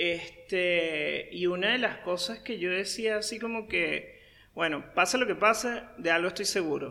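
Raised and projected, a man's high, bright, sharp voice moves at a fairly slow pace in a Venezuelan accent. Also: ordinary pitch variation. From Venezuela (Caracas). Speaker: marketing consultant. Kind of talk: interview.

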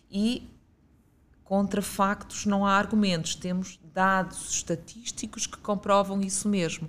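Speaking at a fairly slow pace, a woman uses a medium pitch and a monotone, flat intonation, her voice somewhat breathy. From northern Portugal, Guimarães (Minho). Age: 50s. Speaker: regional director of a youth and sports institute, former philosophy teacher. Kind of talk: interview.

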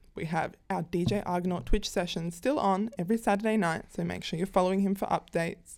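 A woman with an Australian accent, medium in pitch, at a fairly quick pace. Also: very clean recording, silent background. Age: 20s. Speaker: podcast co-host. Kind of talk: casual chat; reading aloud. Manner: animated.

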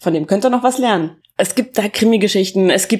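A woman is captured on a very clean recording, the background silent. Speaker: podcast host reviewing books. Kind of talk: casual book review monologue. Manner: halting, many filler sounds.

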